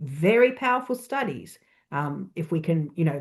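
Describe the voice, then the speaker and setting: Someone with an Australian accent talks at a moderate pace, the pitch swinging very widely. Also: woman. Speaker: church researcher. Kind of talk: presentation.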